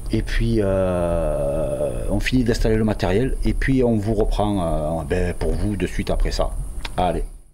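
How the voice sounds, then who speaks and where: Very slow speech from a man, plus noticeable background noise and audible room echo. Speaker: paranormal investigator. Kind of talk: on-location vlog narration. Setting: indoors at an abandoned farm at night. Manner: soft-spoken.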